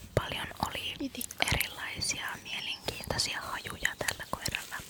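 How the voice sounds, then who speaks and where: A fairly slow whisper against noticeable background noise. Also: woman. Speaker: ASMR creator. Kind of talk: ASMR my day vlog, whispered talk to camera. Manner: whispered, soft, repetitive triggers.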